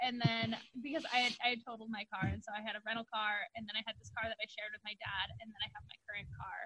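A woman with a fairly high voice talks at a very fast pace. Her loudness swings widely, and vocal fry can be heard. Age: 20s. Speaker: podcast co-host. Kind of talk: casual chat.

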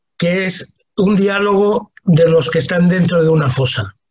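A man's voice sits high in pitch. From Spain, Talavera de la Reina (Toledo). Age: 60s. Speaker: humanitarian worker and writer. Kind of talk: interview.

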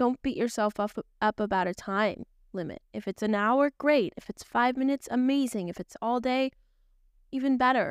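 In a very clean recording with a silent background and a dry, close sound with no echo, a woman speaks at a moderate pace in a fairly high pitch with ordinary variation. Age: 20s. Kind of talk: devotional teaching monologue. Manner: casual, conversational with fillers.

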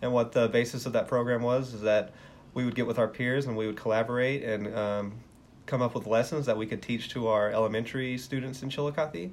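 This man has an American accent and a medium pitch. He speaks at a fairly quick pace with fairly even intonation. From West Texas. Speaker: elementary school teacher. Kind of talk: interview.

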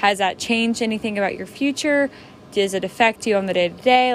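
Very fast speech from a woman, fairly high in pitch, ordinary in pitch variation, over noticeable background noise. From Tennessee. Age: young. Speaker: college student. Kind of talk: student interview project.

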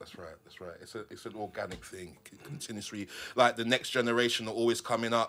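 A man talks at a very fast pace with a bright, sharp tone. His intonation stays fairly even, while his loudness swings widely. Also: medium pitch for a man. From London. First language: not English. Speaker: graffiti artist. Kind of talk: casual chat. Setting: studio.

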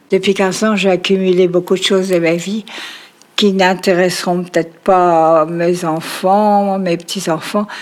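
Woman at a very slow pace with a medium pitch and monotone, flat intonation. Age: 80s+. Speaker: grandmother. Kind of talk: personal testimony. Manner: halting.

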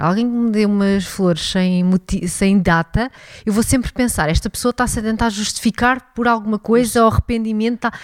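A woman speaks very fast, her pitch varying in an ordinary way. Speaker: podcast co-host. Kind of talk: casual chat.

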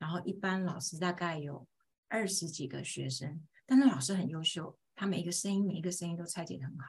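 At a moderate pace, a woman speaks somewhat breathily with a fairly low pitch and ordinary pitch variation. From Taiwan, rural Pingtung. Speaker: homeschooling mother and teacher. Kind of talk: interview storytelling.

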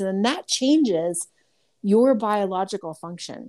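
In a very clean recording with a silent background, a woman with an ordinary speaking voice talks at a moderate pace at a medium pitch. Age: 50s. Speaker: medical intuitive. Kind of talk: casual chat.

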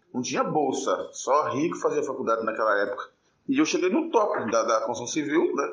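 At a moderate pace, a man speaks in a room with audible echo. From Brazil, interior of Minas Gerais (Governador Valadares). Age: 40s. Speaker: construction foreman. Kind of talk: personal testimony.

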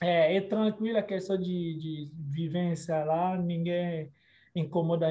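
A man's high-pitched voice, very slow in pace, with fairly even intonation. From DR Congo, Kinshasa. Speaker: lawyer. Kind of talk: interview. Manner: halting.

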